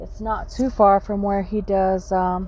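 A woman with a dark, mellow tone at a very slow pace, with a dry sound and no echo. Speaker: vlogger. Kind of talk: casual vlog chat. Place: car. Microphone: phone near.

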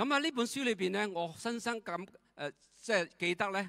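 A man with a non-native accent talks at a moderate pace in a bright, sharp tone. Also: quiet background. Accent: non-native Cantonese. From Myanmar. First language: not Cantonese (speaking Chinese). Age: 70s. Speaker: retired direct-sales leader. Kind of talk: testimony. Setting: stage with audience. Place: hall. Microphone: handheld.

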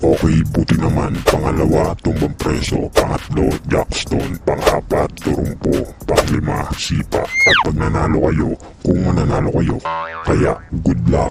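A man's cartoonish character voice, very deep and low, at a fairly slow pace over loud background noise. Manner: announcing, bossy.

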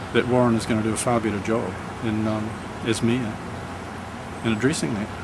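Against noticeable background noise, a man speaks fairly quickly with fairly even intonation. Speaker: candidate. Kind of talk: testimonial statement. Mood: critical, earnest. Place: garden.

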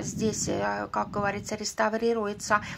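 A woman speaks in a fairly high voice with flat, monotone intonation. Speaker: vlogger answering subscriber questions. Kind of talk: casual vlog monologue. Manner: chatty, informal.

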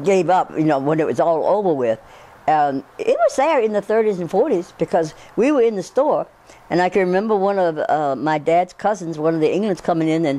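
A woman speaks at a moderate pace. Her pitch moves in very wide swings. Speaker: interviewee. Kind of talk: interview answer. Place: home room. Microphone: lapel.

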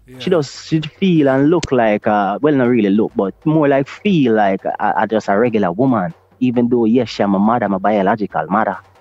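A man with a Jamaican accent speaks at a medium pitch with lively intonation. Noticeable background noise is present. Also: moderate pace, hardly any pauses. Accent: Jamaican English with Patois. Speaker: Rastafari priest. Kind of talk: casual chat. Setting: video call.

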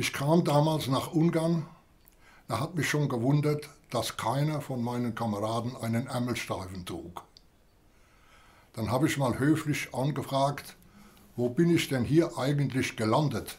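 Somewhat breathy, fairly slow speech with ordinary pitch variation and long, frequent pauses. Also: man, fairly high pitch for a man. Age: 90s. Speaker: war veteran. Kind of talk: interview. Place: home room.

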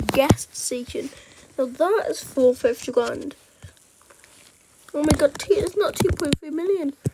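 A woman with ordinary pitch variation, against noticeable background noise. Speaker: gaming YouTuber. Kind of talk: casual gaming commentary to camera.

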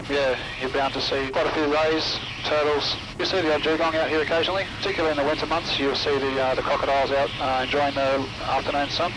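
This man talks at a very fast pace. Noticeable background noise runs behind him. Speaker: helicopter pilot guide. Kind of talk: interview answer. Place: plane. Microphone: headset.

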